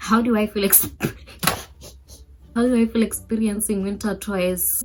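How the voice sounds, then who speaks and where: This woman talks at a moderate pace with a medium-pitched voice and an African accent. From Botswana. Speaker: YouTuber. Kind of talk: casual vlog chat.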